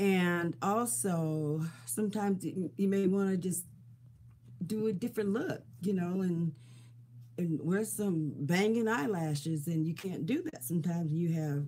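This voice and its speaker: A woman with a fairly low pitch, a somewhat breathy, dark, mellow tone and ordinary pitch variation speaks at a fairly slow pace. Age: 70s. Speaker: beauty vlogger. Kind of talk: casual chat. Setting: live stream recording. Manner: chatty, informal.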